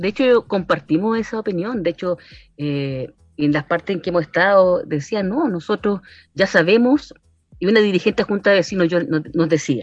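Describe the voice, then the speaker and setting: A woman's plain, everyday voice, medium in pitch, with lively intonation at a moderate pace. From Chile, Valparaíso region. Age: 50s. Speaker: social worker and constituent assembly candidate. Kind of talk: radio interview.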